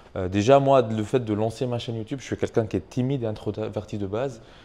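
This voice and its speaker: A man's medium-pitched voice, dark and mellow, at a very fast pace with fairly even intonation and a strong non-native accent. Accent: strong foreign accent in French. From Tunisia. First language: not French (speaking French). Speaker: YouTube entrepreneur, channel owner. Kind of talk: casual interview chat. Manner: hesitant, many fillers.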